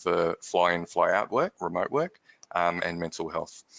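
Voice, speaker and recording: Here a man speaks with an Australian accent. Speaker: company managing director, workplace stress expert. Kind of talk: webinar discussion.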